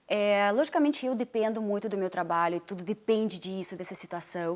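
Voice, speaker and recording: A very clean recording with a silent background, ordinary pitch variation and a fairly quick pace. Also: woman, medium pitch for a woman. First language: Russian (speaking Portuguese). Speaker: dancer and TV/radio presenter. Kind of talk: interview.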